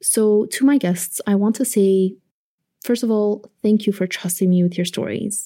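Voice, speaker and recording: A woman's dark, mellow, somewhat breathy voice at a moderate pace. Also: very clean recording, silent background. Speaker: podcast host and producer. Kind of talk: scripted narration. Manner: stutters when nervous.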